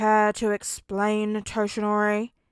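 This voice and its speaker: A woman uses a put-on character voice at a medium pitch, with monotone, flat intonation. She talks at a fairly slow pace in a dry, close sound with no echo. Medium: read story. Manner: dry, deadpan.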